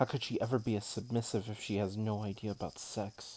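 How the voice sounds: What you hear is a natural reading voice.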